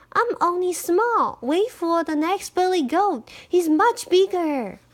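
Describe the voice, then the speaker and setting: A woman's put-on character voice, squeaky and extremely high in pitch, at a fairly slow pace. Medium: read story. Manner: timid, pleading.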